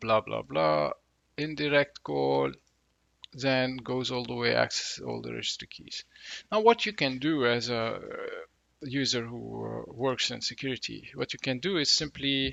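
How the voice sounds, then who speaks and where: Speech comes at a moderate pace in a non-native accent. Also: man. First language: not English. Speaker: tech educator, reverse engineering. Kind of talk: tutorial. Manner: casual, with frequent fillers.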